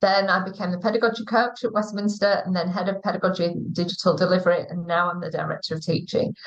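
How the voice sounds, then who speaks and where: Speaking at a very fast pace, a woman uses a medium pitch and fairly even intonation in a somewhat breathy voice. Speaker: school teaching director. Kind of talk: live interview. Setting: online live stream.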